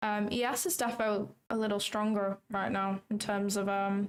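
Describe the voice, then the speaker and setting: A fairly high-pitched woman with a British accent. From England. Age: 20s. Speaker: trading streamer. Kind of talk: live stream commentary. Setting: livestream from home. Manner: casual, chatty.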